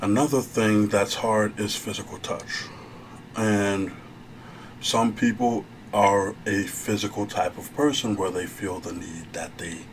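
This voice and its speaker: At a fairly slow pace and fairly low pitch, a man speaks with fairly even intonation and big swings in loudness. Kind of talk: ASMR therapy role play, advice talk. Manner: soft-spoken.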